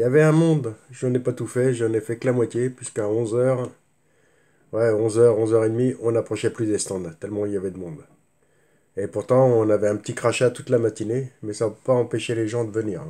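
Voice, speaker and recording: A man's dark, mellow voice at a medium pitch, with fairly even intonation and a fairly quick pace. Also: very clean recording, silent background. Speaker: miniatures collector youtuber. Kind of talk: casual video haul review.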